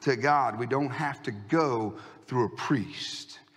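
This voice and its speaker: A man speaks at a very slow pace, with audible echo from the room. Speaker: pastor. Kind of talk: sermon. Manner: animated.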